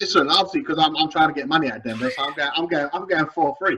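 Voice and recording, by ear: A man talks at a fast pace with a fairly high pitch and ordinary pitch variation. His tone is bright and sharp, with a slightly husky edge.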